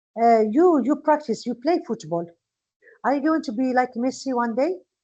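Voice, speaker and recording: A woman is speaking. She has a Moroccan accent. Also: quiet background. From Morocco. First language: Moroccan Arabic. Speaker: English teacher. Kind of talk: lecture. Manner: slow.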